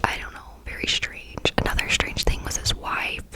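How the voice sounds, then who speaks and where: Someone whispers over noticeable background noise. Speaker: ASMR creator. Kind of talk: whispered ASMR story time. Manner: whispered.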